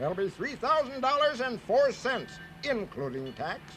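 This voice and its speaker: Putting on a character voice at an extremely high pitch, a man speaks at a moderate pace over clear background noise. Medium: read story.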